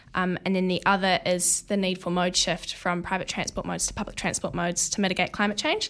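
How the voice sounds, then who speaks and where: A woman speaks at a medium pitch in a monotone, flat tone with vocal fry. The recording is very clean, with a silent background. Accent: New Zealand. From New Zealand. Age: young. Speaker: student activist. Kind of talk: interview. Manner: hesitant, many fillers.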